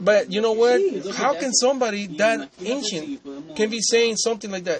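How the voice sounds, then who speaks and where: With a non-native accent, a man talks at a moderate pace with ordinary pitch variation over noticeable background noise. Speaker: debater. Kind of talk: heated debate. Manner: halting.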